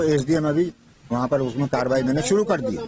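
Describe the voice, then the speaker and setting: The speaker is a man with a fairly high pitch. Noticeable background noise runs through the clip. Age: 70s. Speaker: complainant in a land fraud case. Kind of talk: news interview. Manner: halting.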